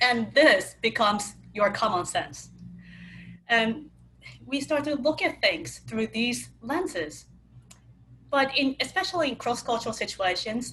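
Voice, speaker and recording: A woman's high voice in a slight Japanese accent, very slow, with very wide pitch swings. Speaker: cross-cultural communication speaker. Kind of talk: webinar talk.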